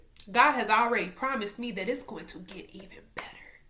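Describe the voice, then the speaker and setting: A woman's fairly high pitch amid audible room echo and noticeable background noise. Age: 20s. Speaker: faith vlogger. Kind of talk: casual devotional vlog. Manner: loud; animated.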